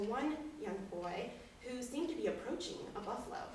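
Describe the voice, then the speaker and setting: Amid noticeable background noise and audible room echo, a woman with a western US accent speaks at a moderate pace. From Wyoming. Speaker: storyteller. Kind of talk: storytelling performance. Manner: animated.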